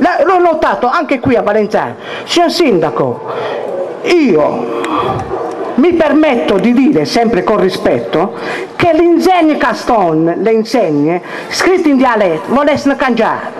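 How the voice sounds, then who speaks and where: Amid noticeable background noise, a man speaks in an extremely high pitch with very wide pitch swings, at a fairly slow pace broken by long, frequent pauses. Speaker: dialect teacher. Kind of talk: live lecture on dialect spelling to an audience. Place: stage. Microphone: handheld.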